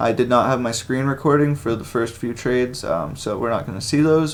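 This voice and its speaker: Using an unremarkable speaking voice, a man talks at a fairly quick pace with medium pitch and ordinary pitch variation. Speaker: day trader. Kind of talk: trading session commentary; casual vlog intro.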